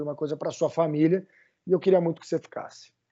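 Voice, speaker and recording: Here a man talks at a very fast pace. His intonation stays fairly even. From Brazil. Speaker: summer camp director. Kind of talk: podcast interview.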